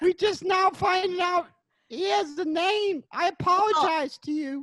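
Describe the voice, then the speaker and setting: In a put-on character voice, the speaker squeaks at an extremely high pitch and keeps a moderate pace. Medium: audio drama.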